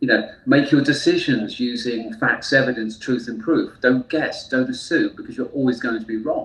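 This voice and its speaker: A man with a British accent at a moderate pace, his loudness swinging widely, with hardly any pauses. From UK. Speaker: therapist. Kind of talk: interview.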